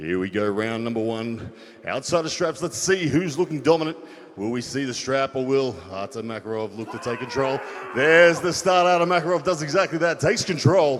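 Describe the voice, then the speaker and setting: With lively intonation and a fairly high pitch, the man talks fairly quickly as noticeable background noise plays behind him. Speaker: arm wrestling commentator. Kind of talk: live commentary. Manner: loud; animated.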